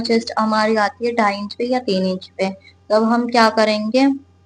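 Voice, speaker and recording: A woman's somewhat breathy, fairly high voice with monotone, flat intonation. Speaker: sewing teacher. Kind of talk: sewing tutorial talk to camera.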